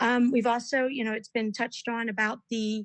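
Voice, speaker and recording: A woman with a fairly high pitch. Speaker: board of education candidate. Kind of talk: candidate forum answer. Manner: fast.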